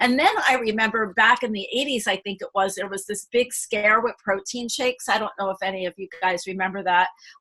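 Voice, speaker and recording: Over noticeable background noise, a woman talks fairly quickly with hardly any pauses, a fairly high pitch and ordinary pitch variation. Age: 60s. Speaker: flight attendant and health coach. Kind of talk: testimony. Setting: video call. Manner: animated.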